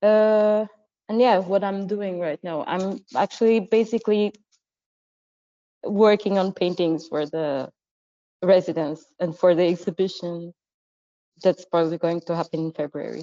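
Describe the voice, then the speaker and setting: Dry and close with no echo, a woman's dark, mellow voice at medium pitch moves fairly slowly, with long, frequent pauses. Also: ordinary pitch variation. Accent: Portuguese. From Portugal, Madeira. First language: Portuguese. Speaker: visual artist. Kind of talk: interview. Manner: halting, many fillers.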